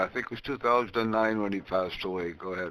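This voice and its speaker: A man with an Ontario accent talks in a fairly low pitch, his tone bright and sharp and his intonation fairly even. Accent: Canadian (Ontario). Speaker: ham radio net controller. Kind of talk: ham radio conversation. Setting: radio transmission via remote station.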